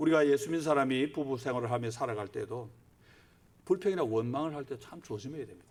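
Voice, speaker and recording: Very fast and with big swings in loudness, a man talks at a fairly high pitch. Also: ordinary pitch variation. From Gyeongsang, South Korea. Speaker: pastor. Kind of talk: sermon.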